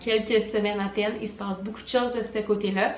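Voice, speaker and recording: The pace is fairly quick. Both room echo and background noise are noticeable. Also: woman. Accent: Quebec. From Quebec, Montreal. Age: 20s. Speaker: vlogger and wedding planner. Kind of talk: vlog.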